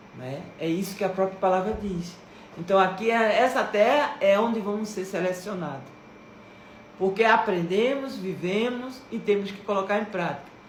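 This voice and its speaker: A woman with a medium pitch and ordinary pitch variation talks at a moderate pace, with big swings in loudness, audible room echo and noticeable background noise. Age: 60s. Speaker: religious video creator. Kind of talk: devotional talk.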